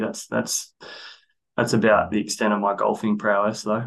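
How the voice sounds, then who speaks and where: A man with an Australian accent and a medium pitch talks at a fairly quick pace against a quiet background. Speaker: athletic performance coach. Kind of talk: casual interview.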